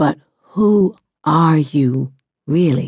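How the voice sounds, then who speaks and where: A woman does a put-on character voice pitched very deep and low. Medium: read story. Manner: insistent, questioning.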